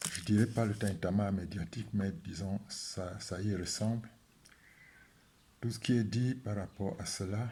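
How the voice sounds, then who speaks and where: Speaking at a fairly slow pace with long, frequent pauses, a man uses fairly even intonation in a fairly low, somewhat breathy voice with a dark, mellow tone. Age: 70s. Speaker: statistician economist and spiritual healing advocate. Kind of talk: video talk to camera. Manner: hesitant with frequent fillers.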